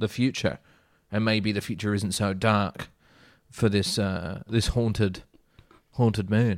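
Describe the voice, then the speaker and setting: A man's fairly low voice with an Australian accent, fairly slow and fairly even in intonation, with long, frequent pauses, on a very clean recording with a silent background. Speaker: actor. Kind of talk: casual chat.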